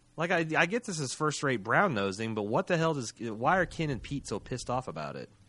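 With a bright, sharp tone and vocal fry, a man at medium pitch talks at a fairly quick pace, swinging very widely in pitch and hardly pausing. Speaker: podcast host. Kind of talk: casual recap chat. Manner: animated, casual, swears.

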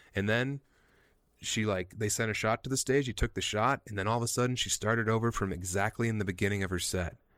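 The speech comes very fast in an American accent, with fairly even intonation. The recording is very clean with a silent background. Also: man, fairly low pitch for a man. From Eastern Plains of Colorado. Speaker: comedian and author. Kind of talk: casual chat.

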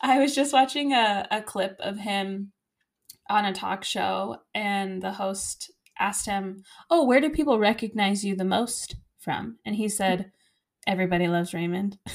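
In an ordinary speaking voice, a woman talks at a moderate pace with ordinary pitch variation on a very clean recording with a silent background. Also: medium pitch for a woman. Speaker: podcast host, school teacher. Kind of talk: casual chat.

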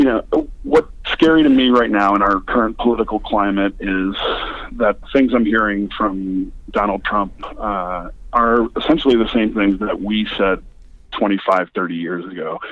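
At a moderate pace, a man with a fairly low pitch speaks in an ordinary speaking voice with ordinary pitch variation. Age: 40s. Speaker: former extremist, nonprofit founder. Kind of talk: interview. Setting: phone call.

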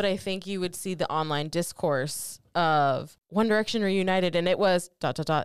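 A plain, everyday voice from a woman at medium pitch, with lively intonation and a moderate pace, on a very clean recording with a silent background. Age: 30s. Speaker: podcast co-host, marketing professional. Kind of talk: casual chat.

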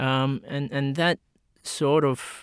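Someone speaks with an Australian accent on a very clean recording with a silent background. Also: man. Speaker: medical researcher. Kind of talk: interview.

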